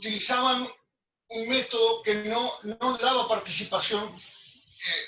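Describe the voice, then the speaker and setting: A man raises and projects his voice at an extremely high pitch. He speaks very slowly. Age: 80s+. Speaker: architect. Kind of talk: group discussion. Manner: halting, many repetitions.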